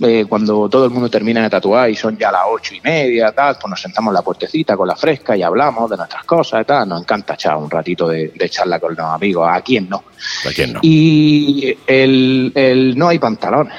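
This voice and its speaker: A man with a Catalan accent, medium in pitch, at a moderate pace with hardly any pauses, lively intonation, and noticeable background noise. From Catalonia, raised in Almería. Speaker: motorcycle traveller, tattoo artist. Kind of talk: casual chat, travel storytelling.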